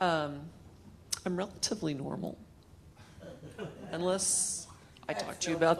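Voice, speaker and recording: Noticeable background noise sits under a woman's fairly low voice with an American accent. She speaks at a moderate pace with ordinary pitch variation. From Oklahoma, US. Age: 60s. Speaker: animal intuitive speaker. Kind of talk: spiritual talk. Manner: loud projected voice.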